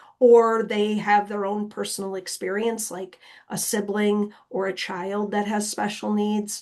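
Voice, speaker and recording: In a quiet background, a woman talks at a fairly slow pace at medium pitch. She has a plain, everyday voice. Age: 50s. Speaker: nonprofit director and planning presenter. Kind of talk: webinar Q&A. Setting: online webinar.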